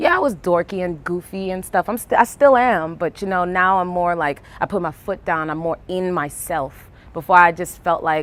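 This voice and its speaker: In a strong Brooklyn accent, a woman talks at a moderate pace with a fairly low pitch. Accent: thick Brooklyn. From New York, Brooklyn. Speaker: artist and poet. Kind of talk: casual interview. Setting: outdoors on a rooftop. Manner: casual, hesitant fillers.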